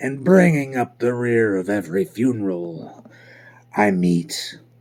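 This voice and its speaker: A man speaks at a medium pitch. His voice makes very wide pitch swings. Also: fairly slow pace. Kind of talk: classic audiobook reading. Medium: read story. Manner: measured, reflective.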